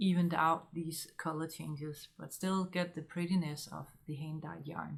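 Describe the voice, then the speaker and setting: Monotone, flat intonation from a woman with a fairly low pitch. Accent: Danish. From Denmark. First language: Danish. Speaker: knitting podcaster. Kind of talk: casual monologue vlog. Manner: halting with many fillers.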